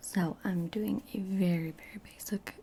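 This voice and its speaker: A soft-spoken woman talks over noticeable background noise. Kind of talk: ASMR makeup tutorial, casual talk to camera.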